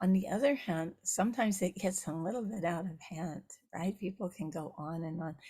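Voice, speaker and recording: A somewhat breathy woman's voice with a dark, mellow tone, medium pitch, ordinary pitch variation and a fairly quick pace. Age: 70s. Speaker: Buddhist nun and teacher. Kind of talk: dharma talk. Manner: halting, with frequent fillers.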